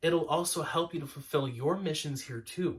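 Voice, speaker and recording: At a fairly quick pace, a man talks at a fairly high pitch with ordinary pitch variation. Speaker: spiritual podcast co-host. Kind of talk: casual spiritual discussion. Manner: loud. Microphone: mic tuned to loud voice, quieter partner hard to hear.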